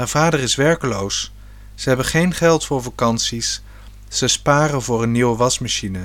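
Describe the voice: Ordinary pitch variation in plain reading aloud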